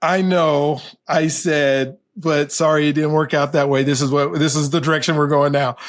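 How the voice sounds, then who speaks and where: An American-accented man with an unremarkable speaking voice talks at a moderate pace and a fairly high pitch, with fairly even intonation and very even loudness, on a very clean recording with a silent background. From Colorado, US. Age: 60s. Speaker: professor. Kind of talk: interview.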